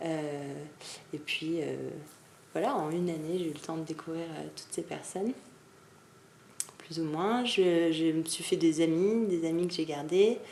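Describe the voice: A woman's low-pitched voice with a dark, mellow tone, at a fairly slow pace, with audible room echo. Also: ordinary pitch variation.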